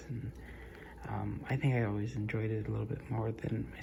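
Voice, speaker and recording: Soft-spoken, the speaker moves at a moderate pace. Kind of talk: ASMR soft-spoken casual talk to camera.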